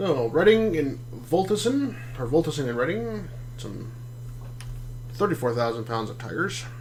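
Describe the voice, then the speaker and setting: A man mumbles at a medium pitch and a moderate pace, with ordinary pitch variation, big swings in loudness, long, frequent pauses, audible room echo and noticeable background noise. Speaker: gaming streamer. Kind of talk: live gameplay commentary. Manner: mumbling; casual, halting.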